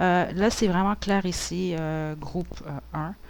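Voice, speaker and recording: A woman speaks at a fairly slow pace. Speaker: tarot reader. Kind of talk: tarot reading. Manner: relaxed; hesitant, many fillers.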